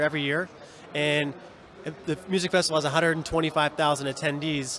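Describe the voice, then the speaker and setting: Here is a man with an American accent and a fairly high pitch. His intonation stays monotone and flat. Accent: Seattle with slight New York. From Seattle, US Pacific Northwest. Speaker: bar owner and bartender. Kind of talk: interview. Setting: live event. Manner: fast.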